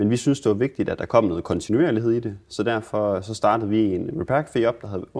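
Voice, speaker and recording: Against a quiet background, a plain, everyday voice moves at a fairly quick pace. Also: man. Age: 20s. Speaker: repair café founder. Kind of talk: interview.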